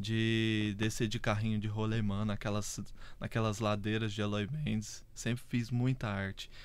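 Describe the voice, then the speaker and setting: A man's fairly low, monotone, flat voice at a fairly slow pace, with audible room echo. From Brazil, southern Minas Gerais (Varginha). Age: 30s. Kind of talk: casual interview chat.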